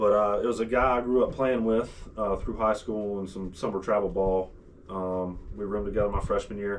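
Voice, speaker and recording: At a fairly quick pace, a man with a Southern US accent speaks in a fairly low, monotone, flat voice. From US South, upstate South Carolina (Easley). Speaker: former college baseball player. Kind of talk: casual chat.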